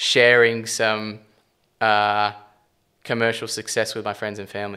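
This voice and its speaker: Speaking in an Australian accent at a moderate pace, a man with a medium pitch has a bright, sharp tone and monotone, flat intonation. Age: 20s. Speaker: property developer and company CEO. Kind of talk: podcast interview. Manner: stumbling, rambling; casual, swears often.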